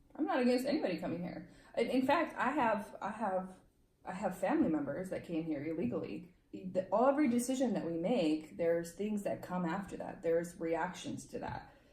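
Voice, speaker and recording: Fairly quick delivery with very wide pitch swings, plus audible room echo and noticeable background noise. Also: woman, medium pitch for a woman. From Romania, moved to US at eight. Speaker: legal immigrant interviewee. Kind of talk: casual interview.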